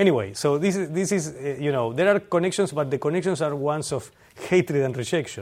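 Speaking at a fairly quick pace, a man uses lively intonation at a fairly high pitch. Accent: Spanish. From Argentina. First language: Spanish. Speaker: historian. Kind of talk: lecture.

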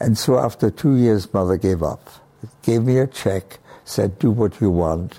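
This man has a dark, mellow tone and a fairly low pitch. He speaks at a moderate pace with ordinary pitch variation. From Austria. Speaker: oceanographer, research professor. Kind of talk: interview, reminiscing about history.

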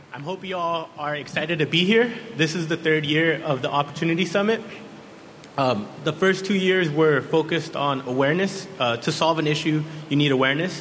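Amid noticeable background noise and audible room echo, a man with a fairly high pitch and ordinary pitch variation speaks at a fairly quick pace. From San Diego. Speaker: youth council member. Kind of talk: prepared speech. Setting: stage with audience.

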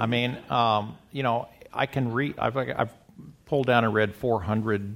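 Using a plain, everyday voice, a man with an American accent talks at a moderate pace with ordinary pitch variation. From US Midwest. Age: 60s. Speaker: scientist and self-tracking pioneer. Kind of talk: panel conversation.

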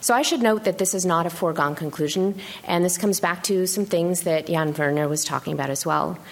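A woman talks at a fairly quick pace with hardly any pauses, in a fairly low pitch with ordinary variation. Noticeable background noise runs behind her. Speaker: neuroscientist discussant. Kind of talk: academic commentary.

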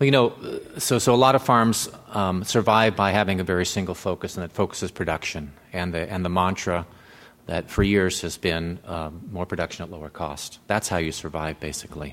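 Very deep and low, a man's voice moves at a fairly quick pace with ordinary pitch variation. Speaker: farmer. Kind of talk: panel discussion.

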